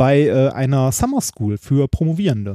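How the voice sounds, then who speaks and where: The recording is dry and close with no echo, carrying a man's medium-pitched voice with a dark, mellow tone. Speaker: doctoral researcher and podcast co-host. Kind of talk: casual chat. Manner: halting.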